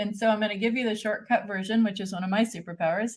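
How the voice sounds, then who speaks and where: This woman's voice is somewhat breathy and fairly high in pitch, with ordinary pitch variation. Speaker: podcast host and chart reader. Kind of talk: personal chart reading in interview. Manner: fast; animated.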